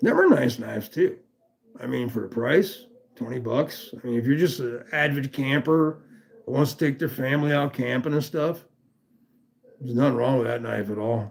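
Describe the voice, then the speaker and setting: Medium pitch and vocal fry from a man with an American accent. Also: ordinary pitch variation, moderate pace. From US West Coast, Los Angeles. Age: 60s. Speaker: livestream host, knife enthusiast. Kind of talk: casual live stream chat. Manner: casual, profane.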